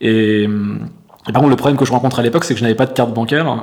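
A man talks at a very fast pace with fairly even intonation. His pitch sits in the medium range. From France. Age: 30s. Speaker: entrepreneur and coach. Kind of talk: casual interview. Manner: halting, many fillers.

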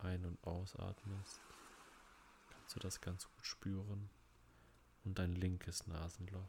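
At a very slow pace with long, frequent pauses, the voice sounds dark, mellow, calm and soothing, somewhat breathy, with monotone, flat intonation. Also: man. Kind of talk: guided meditation. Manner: slow, calm, soothing, with long pauses between body parts.

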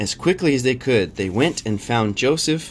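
Using a plain, everyday voice, a man talks at a moderate pace with lively intonation. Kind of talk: bedtime story reading aloud with discussion questions. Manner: gentle, soothing, measured storytelling pace.

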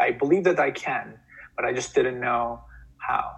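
A man speaking at a moderate pace in a Turkish accent. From Turkey. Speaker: podcast guest, healthcare entrepreneur. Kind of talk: interview, personal story. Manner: filler-heavy, repeats words.

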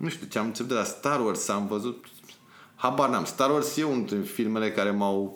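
Audible room echo surrounds a man speaking at a medium pitch with ordinary pitch variation. His pace is moderate. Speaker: music video director. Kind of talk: podcast interview. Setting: studio. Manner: halting.

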